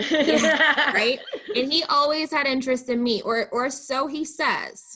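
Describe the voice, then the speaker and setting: Her voice is raised and projected, high in pitch, with lively intonation at a fairly slow pace. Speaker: event venue manager. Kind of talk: casual interview chat. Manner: loud, talkative.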